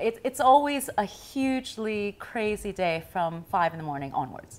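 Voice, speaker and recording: A woman at a moderate pace with lively intonation. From US and Taiwan, international upbringing; US. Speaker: news anchor and author; news anchor. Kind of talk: tv interview. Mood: cheerful, animated. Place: home room. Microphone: lapel.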